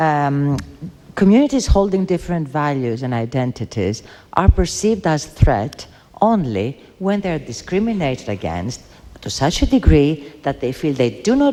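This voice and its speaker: A woman with a non-native accent talks at a moderate pace in a very deep, low pitch with very wide pitch swings, and noticeable background noise is present. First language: not English. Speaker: debate panelist. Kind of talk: heated debate. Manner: halting.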